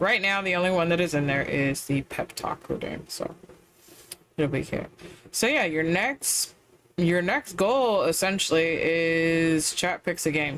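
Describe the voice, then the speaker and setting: Soft-spoken delivery at a fairly slow pace. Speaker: streamer. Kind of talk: casual chat. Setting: live stream.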